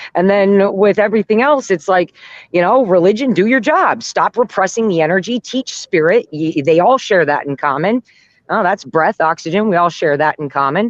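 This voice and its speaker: A woman speaks in an unremarkable speaking voice at medium pitch and a moderate pace, with lively intonation and a dry, close sound with no echo. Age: 40s. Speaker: guest, construction worker. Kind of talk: casual chat.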